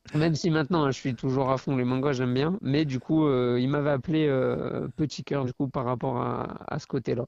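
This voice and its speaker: The man holds a medium pitch and fairly even intonation at a moderate pace. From France, Loire (near Saint-Étienne). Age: 20s. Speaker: professional kickboxer. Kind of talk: podcast interview. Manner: hesitant, many fillers.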